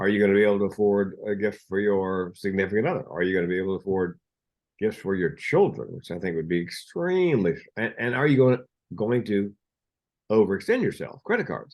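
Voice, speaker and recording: This is a normal speaking voice in an American accent. It moves at a fairly quick pace with ordinary pitch variation. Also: man, fairly low pitch for a man. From US South. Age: 60s. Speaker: mental health speaker and comedian. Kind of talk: podcast interview.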